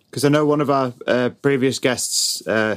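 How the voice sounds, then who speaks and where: Speaking in a British accent, a man keeps a moderate pace. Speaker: podcast co-host. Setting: recorded with new microphone setup.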